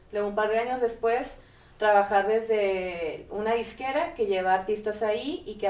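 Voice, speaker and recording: An ordinary speaking voice from a woman, medium-pitched, moderately paced, with ordinary pitch variation. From Mexico, Monterrey. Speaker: music industry manager and psychologist. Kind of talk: casual interview chat.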